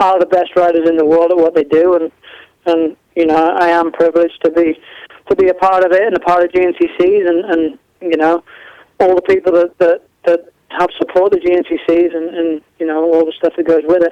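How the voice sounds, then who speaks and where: Here a man with an English accent talks at a fairly quick pace in a high pitch. His intonation is monotone and flat, and the sound is dry and close with no echo. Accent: English-sounding. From mid Wales. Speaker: motorcycle racer. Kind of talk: interview. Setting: live internet radio.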